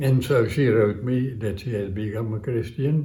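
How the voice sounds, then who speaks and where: In a Dutch accent, a man with a dark, mellow, somewhat breathy tone speaks at a fairly slow pace, his medium pitch showing ordinary variation, with audible room echo around him. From Netherlands, Amsterdam. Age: 80s+. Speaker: centenarian interviewee, community radio presenter. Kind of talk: interview storytelling. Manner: halting, many fillers.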